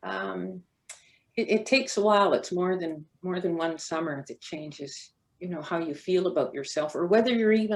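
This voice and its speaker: With a Canadian accent, a woman talks at a moderate pace. Her fairly low pitch carries vocal fry. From Canada, North Vancouver. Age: 70s. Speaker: former track athlete. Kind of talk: panel testimony.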